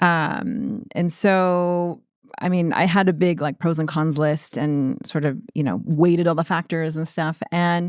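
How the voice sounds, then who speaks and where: A woman with a plain, everyday voice speaks at a fairly slow pace and a fairly low pitch, with ordinary pitch variation, on a very clean recording with a silent background. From United States (Korean American, moved at age three). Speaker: entrepreneur, skincare brand founder. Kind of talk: interview. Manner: casual, with many fillers.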